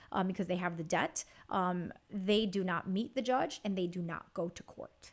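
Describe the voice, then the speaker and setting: The voice has a Chicago accent and keeps a moderate pace. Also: woman. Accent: Chicago American English. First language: Spanish. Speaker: bankruptcy attorney. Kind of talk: interview answer.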